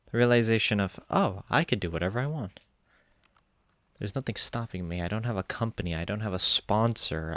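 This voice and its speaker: A man talks with ordinary pitch variation in a very clean recording with a silent background. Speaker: gaming YouTuber. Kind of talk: casual gameplay commentary. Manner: rambling, hesitant with fillers.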